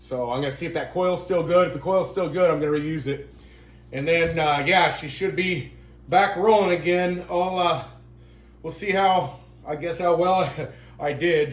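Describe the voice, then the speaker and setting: A high-pitched man at a moderate pace, fairly even in intonation, with long, frequent pauses and audible room echo. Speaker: RC hobby YouTuber. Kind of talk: tutorial. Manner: halting.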